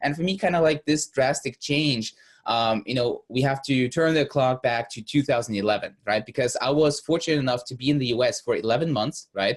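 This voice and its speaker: A man's fairly high, somewhat breathy voice with a Russian accent, at a fairly quick pace with hardly any pauses. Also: ordinary pitch variation. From Germany, born in Russia. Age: 20s. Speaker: business coach. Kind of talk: interview. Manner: halting, many fillers.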